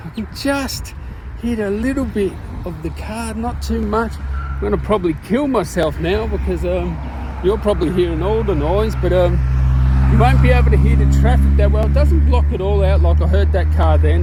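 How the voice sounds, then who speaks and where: Over noticeable background noise and audible room echo, a man speaks with a very deep, low pitch. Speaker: tech reviewer. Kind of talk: product review vlog. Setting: outdoors on a walk by traffic. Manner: loud, yelling over noise; casual, chatty.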